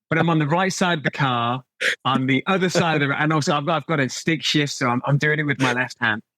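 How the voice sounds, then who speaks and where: A man with an English accent talks very fast in a fairly high pitch, his bright, sharp tone held at very even loudness with ordinary pitch variation, recorded dry and close with no echo. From England. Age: 40s. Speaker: watch brand director. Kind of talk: podcast interview.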